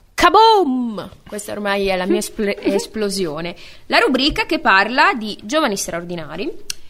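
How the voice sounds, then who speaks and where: A woman with a fairly high voice speaks at a fairly slow pace, her pitch swinging very widely. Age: 30s. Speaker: radio host. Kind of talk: radio talk show.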